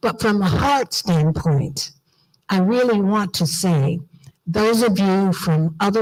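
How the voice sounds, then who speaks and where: A woman's somewhat breathy voice at a very slow pace, with ordinary pitch variation. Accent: American. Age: old. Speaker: diaspora organization leader. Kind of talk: conference speech. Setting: auditorium with audience. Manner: animated.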